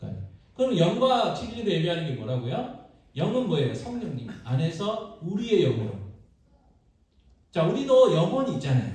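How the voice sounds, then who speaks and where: The speaker swings very widely in pitch at a moderate pace, with long, frequent pauses and audible room echo. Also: man, high pitch for a man. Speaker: pastor. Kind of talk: sermon. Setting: church. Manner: animated.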